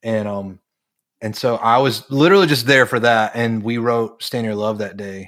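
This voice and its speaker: In a very clean recording with a silent background, a man with an American accent and a plain, everyday voice speaks at medium pitch and a moderate pace, with ordinary pitch variation. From North Carolina. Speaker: worship leader and songwriter. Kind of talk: casual interview.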